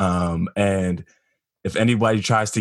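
Here is a man in a plain, everyday voice with an American accent. His pitch is fairly low and his intonation fairly even. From South Jersey, US. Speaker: pastor. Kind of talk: casual interview conversation. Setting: video call.

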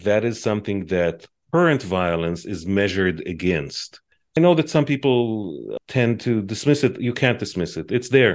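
Against a quiet background, a man with an Israeli accent speaks at a moderate pace. His fairly low pitch swings very widely. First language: Hebrew. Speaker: advocacy group executive, former journalist. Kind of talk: interview.

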